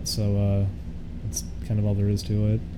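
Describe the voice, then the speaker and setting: A man's fairly low voice with audible room echo. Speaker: streamer. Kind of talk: casual live stream chat. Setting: live stream.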